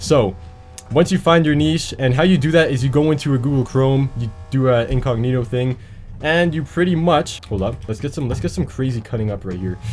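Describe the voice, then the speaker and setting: Medium pitch and a fairly quick pace from a man, music playing behind him. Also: lively intonation. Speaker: YouTube creator. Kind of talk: casual tutorial while gaming. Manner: fast.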